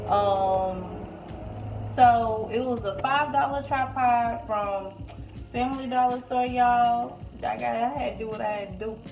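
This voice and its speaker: Recorded with audible room echo and light background noise, a woman speaks at a fairly slow pace. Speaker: home cook vlogger. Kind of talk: casual vlog chat. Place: kitchen. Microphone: phone near.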